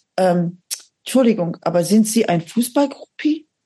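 A woman's somewhat breathy, dark and mellow voice at a moderate pace. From Aachen, western Germany. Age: 50s. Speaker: metal singer and psychotherapist. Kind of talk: casual interview chat.

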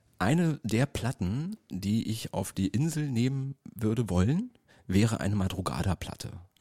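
With a fairly low pitch and a dark, mellow tone, a man talks with lively intonation and a somewhat breathy quality, recorded very cleanly against a silent background in a dry, close sound with no echo. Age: 40s. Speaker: DJ and podcast co-host. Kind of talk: casual chat. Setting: gallery space used as studio.

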